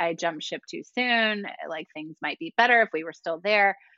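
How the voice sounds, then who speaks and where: A woman uses an ordinary speaking voice at a medium pitch. Her intonation is lively and her pace moderate. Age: 40s. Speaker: yoga studio owner and instructor. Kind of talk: casual chat.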